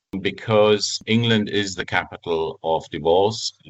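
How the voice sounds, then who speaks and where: Speaking with a German accent, a man uses a fairly low pitch and fairly even intonation. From Germany. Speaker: family lawyer, former judge. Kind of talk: podcast interview.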